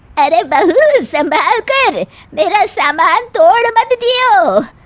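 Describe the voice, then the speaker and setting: A cartoonish character voice moves very slowly through very wide pitch swings. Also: woman, extremely high pitch for a woman. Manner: bossy, scolding.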